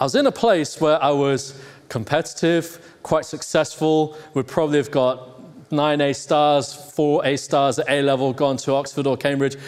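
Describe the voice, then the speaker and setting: A man with an American accent at a fairly high pitch, moderate pace, very even loudness and fairly even intonation, over noticeable background noise. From Hong Kong, then England. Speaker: pastor. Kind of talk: sermon. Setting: church.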